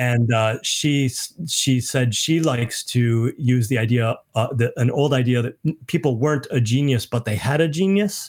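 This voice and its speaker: Somewhat breathy male speech with an American accent, medium in pitch with ordinary pitch variation, at a moderate pace with hardly any pauses and very even loudness. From US Midwest (Michigan). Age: 50s. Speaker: author. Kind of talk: casual chat. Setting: video call.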